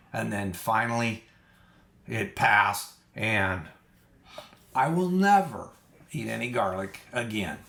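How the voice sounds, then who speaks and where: A man talks at a very slow pace with long, frequent pauses over noticeable background noise. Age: 60s. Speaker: diet vlogger. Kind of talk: casual monologue. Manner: halting, many fillers.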